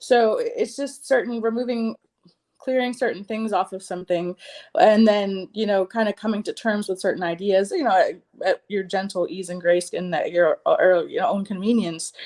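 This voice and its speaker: At a moderate pace, a woman in an ordinary speaking voice keeps a medium pitch and ordinary pitch variation. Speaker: psychic reader and healer. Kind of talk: spiritual reading. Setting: livestream.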